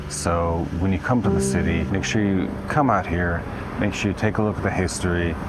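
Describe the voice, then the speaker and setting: Music plays in the background. A man talks with ordinary pitch variation. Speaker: travel vlogger. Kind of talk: casual vlog chat. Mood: serious, reflective. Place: street. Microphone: phone near.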